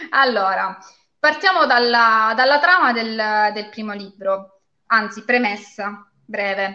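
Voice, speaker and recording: Her voice is fairly high-pitched, with a bright, sharp tone. The woman talks at a very slow pace, and her loudness swings widely. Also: ordinary pitch variation. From Calabria, Castrovillari (Cosenza). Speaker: lawyer and fantasy author. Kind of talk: live interview.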